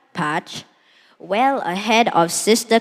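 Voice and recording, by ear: With lively intonation, a person reads text aloud in a natural voice.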